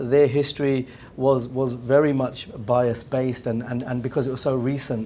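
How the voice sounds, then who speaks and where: A man with an English accent, a dark, mellow tone, medium pitch and fairly even intonation. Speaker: business executive. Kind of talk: round table discussion. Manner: halting, many repetitions.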